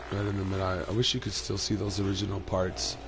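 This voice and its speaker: There is audible room echo around the speaker. He is a man with a fairly low pitch. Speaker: gaming streamer. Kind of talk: gameplay commentary. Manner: casual, hesitant with fillers.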